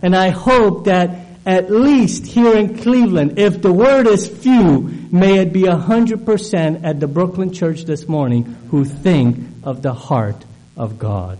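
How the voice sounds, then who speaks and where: A man talks at a fairly slow pace with a high pitch and very wide pitch swings. Noticeable background noise is present. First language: not English. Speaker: guest preacher. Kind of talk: sermon. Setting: church. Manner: halting with fillers.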